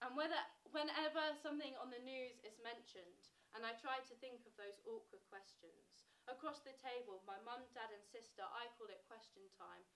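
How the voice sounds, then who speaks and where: In an English accent, a woman speaks at a moderate pace with a high pitch, ordinary pitch variation and big swings in loudness. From England. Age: 20s. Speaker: spoken word poet. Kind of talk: spoken word performance. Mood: reflective, wry. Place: stage. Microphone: camera far.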